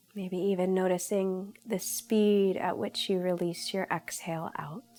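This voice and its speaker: Fairly slow speech from a woman at medium pitch, fairly even in intonation, over noticeable background noise. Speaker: yoga instructor. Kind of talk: guided meditation. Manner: slow, soft-spoken.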